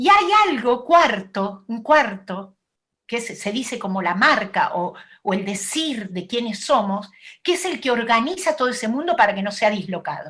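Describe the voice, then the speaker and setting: A bright, sharp tone with very wide pitch swings at a moderate pace. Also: woman, fairly high pitch for a woman. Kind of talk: talk at an online event.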